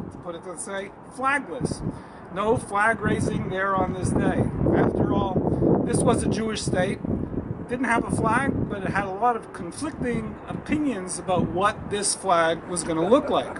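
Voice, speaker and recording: A man at a fairly slow pace with ordinary pitch variation, over loud background noise. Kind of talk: ceremonial speech. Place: street. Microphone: podium.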